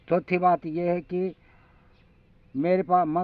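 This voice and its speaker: A man at a high pitch. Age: 60s. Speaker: village earthquake predictor, YouTuber. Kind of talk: talking-head monologue. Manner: halting, with false starts.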